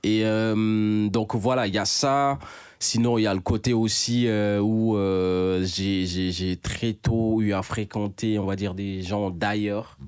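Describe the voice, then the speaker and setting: A man with a fairly low pitch speaks at a very slow pace with fairly even intonation on a very clean recording with a silent background. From Senegal, Dakar (Grand Yoff). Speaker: rapper. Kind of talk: casual interview.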